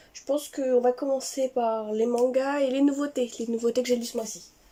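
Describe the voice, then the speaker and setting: Her high-pitched voice shows ordinary pitch variation as this woman speaks. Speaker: book and manga youtuber. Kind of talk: casual book review vlog. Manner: hesitant, many fillers.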